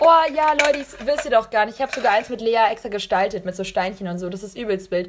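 A woman's fairly high voice at a very fast pace, with lively intonation, big swings in loudness and noticeable background noise. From Munich, Bavaria. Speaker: podcast host. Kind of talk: casual chat. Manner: animated.

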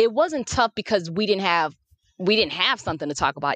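A woman speaks in an animated tone. The sound is dry and close, with no echo. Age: 30s. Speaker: podcast co-host. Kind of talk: casual chat.

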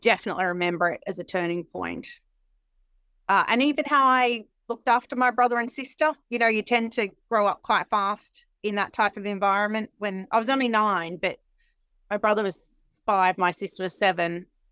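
A woman with an Australian accent speaks at a moderate pace with long, frequent pauses, her medium pitch showing ordinary variation and a bright, sharp tone, in a dry, close recording with no echo that is very clean against a silent background. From Sydney, Australia. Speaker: financial services executive. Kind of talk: interview, casual chat.

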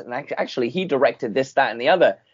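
A man with a plain, everyday voice, at a fairly quick pace with ordinary pitch variation. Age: 20s. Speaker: podcast host. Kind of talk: casual interview chat.

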